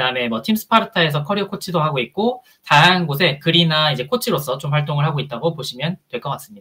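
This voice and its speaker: A man talks very fast with hardly any pauses. His pitch is fairly high and his intonation lively. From Busan, South Korea. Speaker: HR consultant and career coach. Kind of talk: conference talk. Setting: stage with audience.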